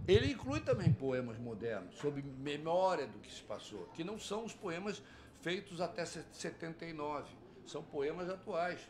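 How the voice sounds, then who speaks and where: A man with a fairly high pitch talks at a moderate pace, his lively intonation and big swings in loudness carried by audible room echo. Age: 70s. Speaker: psychoanalyst and poet. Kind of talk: interview. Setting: studio at a book fair.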